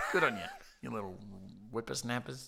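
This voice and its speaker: At a moderate pace, a man with a medium-pitched voice talks with an Australian accent. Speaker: podcast co-host. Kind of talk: casual chat. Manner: loud and animated.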